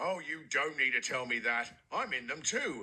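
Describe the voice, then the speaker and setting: A man's cartoonish character voice at a medium pitch and a moderate pace. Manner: polite, cheerful.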